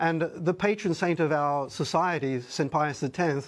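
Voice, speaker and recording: A man speaks at a moderate pace in an Australian accent against a quiet background. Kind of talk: TV news interview.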